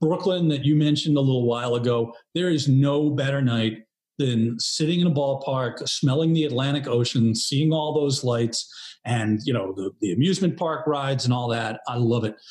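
A somewhat breathy man with an American accent, ordinary pitch variation and a moderate pace. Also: medium pitch for a man. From New York area. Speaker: graphic designer. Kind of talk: casual chat.

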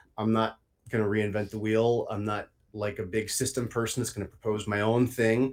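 The speaker holds a moderate pace in a monotone with flat intonation. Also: man, medium pitch for a man. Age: 30s. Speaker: writer and former psychology lecturer. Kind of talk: casual intellectual discussion.

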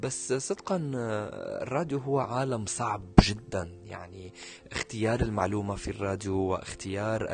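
Over music in the background, a man speaks at a fairly slow pace in a fairly low voice. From Syria. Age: 20s. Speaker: media presenter and journalist. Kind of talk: interview conversation.

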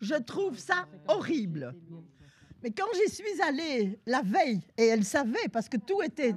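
A woman speaks at a very slow pace in a high voice. Her pitch swings very widely. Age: old. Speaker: senior participant in a workshop. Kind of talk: group discussion.

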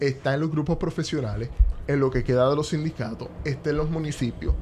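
Music plays in the background as a man talks at medium pitch. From Puerto Rico (Caguas). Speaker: economist and lawyer. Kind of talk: interview conversation.

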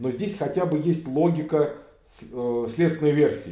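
Vocal fry runs through the voice. The room echo is audible. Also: man. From Russia. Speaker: human rights activist, former police officer. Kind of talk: casual interview.

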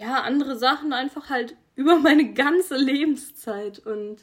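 With normal movement in her intonation, a woman talks in a high register. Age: 20s. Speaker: podcast host, athlete. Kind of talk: casual solo podcast talk. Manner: animated.

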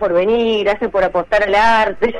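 A woman with a medium pitch talks while noticeable background noise is present. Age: 40s. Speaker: comedian. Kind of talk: casual chat.

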